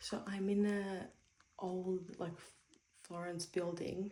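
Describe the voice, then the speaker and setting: A woman's medium-pitched, somewhat breathy voice with a dark, mellow tone, monotone, flat intonation and a very slow pace. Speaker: travel vlogger. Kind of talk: casual vlog narration. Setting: hotel room; walking outdoors in city. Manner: whispering; casual, filler-heavy.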